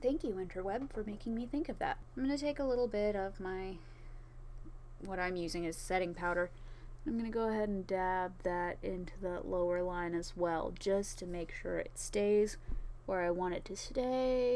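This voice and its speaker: At a moderate pace, a woman with a medium pitch and a dark, mellow tone speaks with ordinary pitch variation in audible room echo. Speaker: cosplayer. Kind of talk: tutorial. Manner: slurred.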